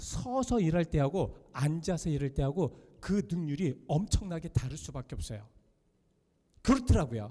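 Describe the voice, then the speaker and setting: A loud voice with a dark, mellow tone moves at a moderate pace through very wide pitch swings. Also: man, fairly high pitch for a man. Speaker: pastor. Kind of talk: sermon.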